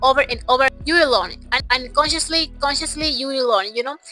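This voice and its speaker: A woman's raised, projected voice sits at a high pitch over music in the background. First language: Portuguese. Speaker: English learning vlogger. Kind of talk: casual vlog monologue.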